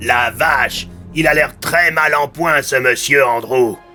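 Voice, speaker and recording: Over clear background music, a man does a put-on character voice at a fairly slow pace. His voice is raspy and fairly high. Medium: read story. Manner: casual, familiar.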